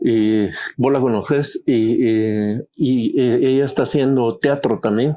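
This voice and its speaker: A man's medium-pitched voice with a Guatemalan accent, very slow pace, fairly even intonation and very even loudness. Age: 60s. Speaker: painter. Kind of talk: casual chat.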